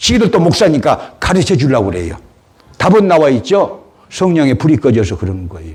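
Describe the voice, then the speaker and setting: Delivered at a fairly quick pace, the voice carries vocal fry, very wide pitch swings and big swings in loudness. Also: man, fairly high pitch for a man. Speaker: pastor. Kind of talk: sermon. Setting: church service. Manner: animated, exclamatory preaching.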